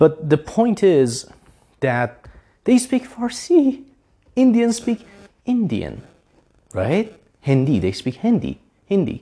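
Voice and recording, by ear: Slow pace and a dark, mellow tone, with very wide pitch swings. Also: man, fairly high pitch for a man.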